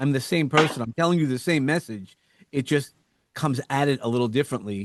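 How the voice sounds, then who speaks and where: In a New York accent, a man with a fairly high pitch speaks at a moderate pace, heard in a dry, close sound with no echo and a quiet background. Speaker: entrepreneur and podcast host. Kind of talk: podcast interview. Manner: animated.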